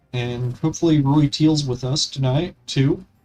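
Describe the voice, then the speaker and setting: Music plays in the background as a man speaks at a fairly slow pace, his fairly high pitch held in fairly even intonation. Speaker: gaming streamer. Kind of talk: casual live stream commentary. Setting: live stream. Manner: halting.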